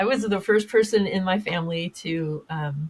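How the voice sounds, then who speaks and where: Slightly breathy, the voice holds a mostly level intonation. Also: woman. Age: 60s. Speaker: podcast host and public speaker. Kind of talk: interview conversation. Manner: halting, many fillers and restarts.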